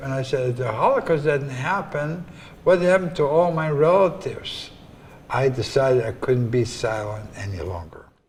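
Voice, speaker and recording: Audible room echo surrounds a man speaking at a moderate pace in a fairly high voice with lively intonation. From Poland. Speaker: Holocaust survivor. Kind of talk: testimony.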